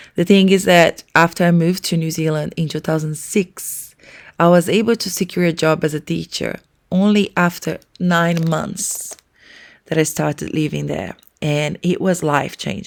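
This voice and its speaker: A woman with a Portuguese accent speaks at a fairly low pitch. Her pace is moderate and her intonation fairly even. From Brazil. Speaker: early childhood educator and podcast co-host. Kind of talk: casual podcast introduction.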